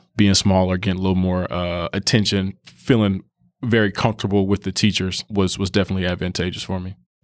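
A man with an American accent speaks with fairly low pitch. The recording is very clean with a silent background. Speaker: bank risk specialist, school alumnus. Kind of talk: casual interview.

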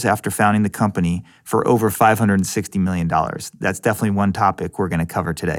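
A man at a very fast pace, on a very clean recording with a silent background. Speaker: podcast host and venture capitalist. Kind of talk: casual interview.

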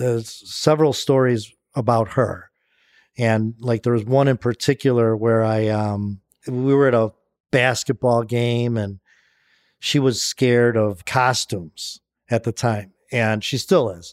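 A man at medium pitch speaks in an ordinary speaking voice with fairly even intonation and a fairly slow pace, the sound dry and close with no echo on a very clean recording with a silent background. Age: 60s. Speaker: author and entrepreneur in recovery from alcoholism. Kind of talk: casual interview.

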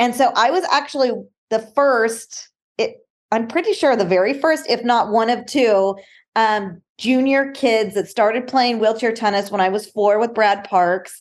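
A woman with an ordinary speaking voice and a fairly high pitch talks with ordinary pitch variation and very even loudness over a quiet background. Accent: American. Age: 40s. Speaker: motivational speaker and wheelchair athlete. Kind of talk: interview.

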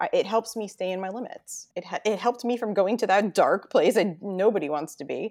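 A woman at a medium pitch talks fairly quickly with hardly any pauses in an ordinary speaking voice. Her loudness swings widely, while her pitch varies in an ordinary way. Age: 40s. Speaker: stay-at-home mom sharing weight loss story. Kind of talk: interview, personal testimony.

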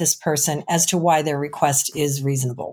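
In a plain, everyday voice, a woman with an American accent speaks at a moderate pace with ordinary pitch variation. The recording is very clean, with a silent background. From Chicago. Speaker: recruiting agency owner and career coach. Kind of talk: podcast interview.

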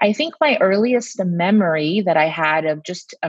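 A woman's plain, everyday voice, with ordinary pitch variation at a moderate pace. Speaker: pediatrician podcast host. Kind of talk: casual chat.

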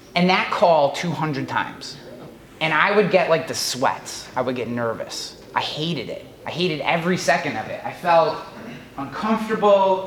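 A man's high-pitched voice at a moderate pace with lively intonation, amid audible room echo and noticeable background noise. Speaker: insurance digital marketing vlogger. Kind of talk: casual vlog monologue. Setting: hotel room; in front of a live audience, unmiked. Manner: animated, lots of hand gestures.

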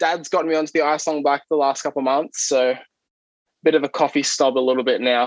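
Speaking very fast in a flat monotone with an Australian accent, the voice sounds dry and close with no echo. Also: man, fairly high pitch for a man. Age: 20s. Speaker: athlete. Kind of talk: casual chat.

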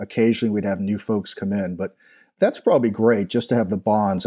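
A man speaks at a fairly low pitch with an American accent and a dark, mellow tone. The recording is very clean, with a silent background. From Long Island, New York. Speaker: former marine officer. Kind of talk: interview.

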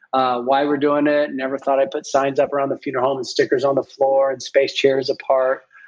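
Fairly high in pitch, a man speaks quickly with a Midwestern accent. His intonation is monotone and flat. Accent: General American (Midwest). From US Midwest (Springfield, Ohio). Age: 50s. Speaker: funeral home owner. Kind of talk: casual interview.

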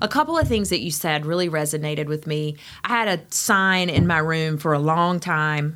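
A woman with an Eastern North Carolina accent speaks at a moderate pace. Her pitch is fairly low, with ordinary pitch variation. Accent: Eastern North Carolina Southern. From Eastern North Carolina, Greenville. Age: 40s. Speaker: physician. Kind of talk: casual interview. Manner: animated.

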